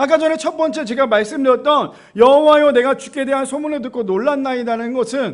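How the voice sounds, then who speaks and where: This man's voice sits at an extremely high pitch. His pitch varies in an ordinary way. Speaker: pastor. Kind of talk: sermon. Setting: church.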